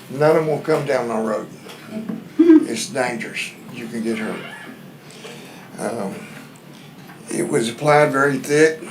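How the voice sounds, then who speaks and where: Amid noticeable background noise and audible room echo, a man with a fairly high pitch and ordinary pitch variation speaks fairly slowly, with long, frequent pauses and big swings in loudness. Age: 70s. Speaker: resident speaking at public comment. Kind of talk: public comment at county meeting. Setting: county courtroom meeting.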